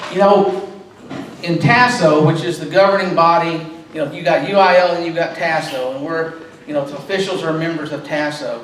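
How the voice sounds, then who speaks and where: Over noticeable background noise and audible room echo, a high-pitched man with a Texan accent talks at a fairly quick pace, with ordinary pitch variation and big swings in loudness. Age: 60s. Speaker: sports official. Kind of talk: club talk. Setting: club meeting.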